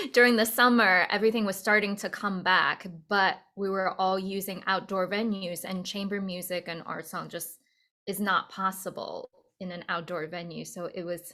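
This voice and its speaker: In a very clean recording with a silent background, a woman with a medium pitch and a bright, sharp tone talks at a moderate pace in a monotone, flat intonation, with big swings in loudness. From China, Beijing; moved to US at 12. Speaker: opera singer. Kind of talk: casual interview chat.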